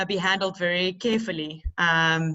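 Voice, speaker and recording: A South African accent and fairly even intonation. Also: woman. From South Africa, Cape Town area. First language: Afrikaans. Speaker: teacher. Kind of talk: panel discussion. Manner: halting.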